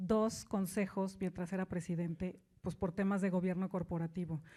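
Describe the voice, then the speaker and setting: The voice has a dark, mellow tone and moves at a moderate pace. The recording is very clean, with a silent background. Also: woman. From Mexico. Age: 50s. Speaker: business executive and author. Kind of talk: keynote talk.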